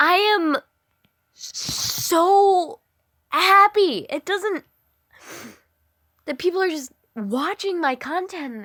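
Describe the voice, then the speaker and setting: A woman with an extremely high pitch speaks at a very slow pace in a raised, projected voice. Her intonation is lively, with long, frequent pauses. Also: dry, close sound with no echo. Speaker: reddit story reader. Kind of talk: casual chat.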